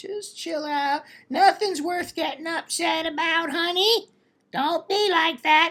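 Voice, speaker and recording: A female-sounding put-on character voice speaks at an extremely high pitch. The pace is fairly slow. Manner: relaxed, soothing.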